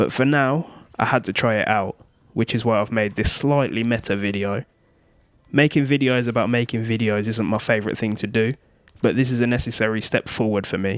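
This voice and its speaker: A robotic voice with fairly even intonation speaks at a fairly quick pace on a very clean recording with a silent background. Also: man. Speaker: YouTuber. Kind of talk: scripted talk to camera. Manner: flat, somewhat robotic delivery.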